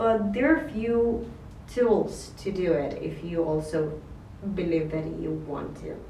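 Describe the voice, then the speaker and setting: A very slow delivery amid audible room echo and noticeable background noise. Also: woman. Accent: non-native. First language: not English. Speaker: vlogger, photographer and filmmaker. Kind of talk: casual monologue to camera. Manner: halting, with fillers.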